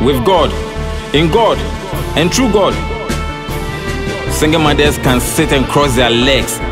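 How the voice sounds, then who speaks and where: Clear background music behind a male speaker at a fairly slow pace. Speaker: poet. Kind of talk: spoken word poetry. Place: studio.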